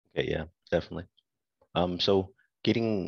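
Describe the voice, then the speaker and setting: Moderately paced speech from a man, set against a quiet background. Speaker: active duty soldier. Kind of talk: casual interview.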